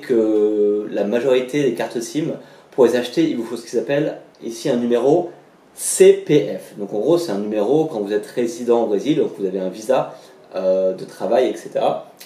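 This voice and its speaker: The voice moves at a fairly slow pace with lively intonation and big swings in loudness, and the room echo is audible. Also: man. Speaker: language vlogger, traveller. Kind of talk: vlog explainer. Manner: casual, many hesitations.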